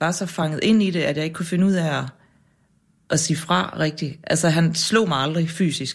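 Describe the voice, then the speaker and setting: A woman with an unremarkable speaking voice and fairly low pitch talks at a moderate pace, recorded very cleanly against a silent background. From Jutland, Denmark. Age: 40s. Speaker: journalist and author. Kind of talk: interview conversation. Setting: radio studio.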